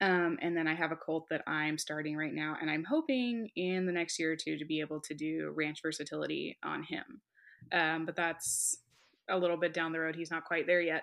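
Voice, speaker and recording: An ordinary speaking voice with an American accent, fairly even intonation and a moderate pace, over a quiet background. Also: woman, fairly low pitch for a woman. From California. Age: 20s. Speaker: horsewoman. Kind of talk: casual chat.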